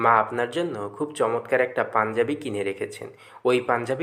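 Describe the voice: Lively intonation running through plain reading aloud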